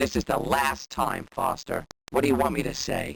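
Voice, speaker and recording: Raspy and put-on, this man's voice is a character voice. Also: medium pitch for a man, moderate pace. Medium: video game. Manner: wisecracking, dry.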